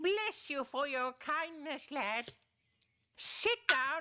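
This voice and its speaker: A woman speaks in a high, put-on character voice. Her delivery is very slow, with very wide pitch swings. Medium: short film. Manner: chuckling, grandfatherly.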